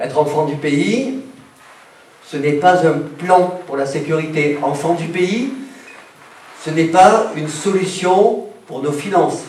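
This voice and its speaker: Through audible room echo and noticeable background noise, a man with a high voice talks at a very slow pace with ordinary pitch variation. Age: 60s. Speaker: doctor and mayoral candidate. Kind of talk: campaign speech.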